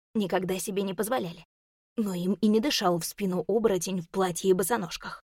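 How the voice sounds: Heard here is a natural reading voice with fairly even intonation. The background is quiet.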